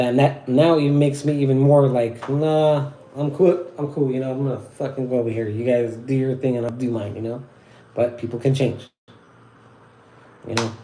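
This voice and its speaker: With an American accent, the speaker keeps a moderate pace and fairly even intonation, leaving long, frequent pauses amid audible room echo. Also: man, medium pitch for a man. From Southern California. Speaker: wet-shaving livestreamer. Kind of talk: casual livestream talk. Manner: halting, stuttering.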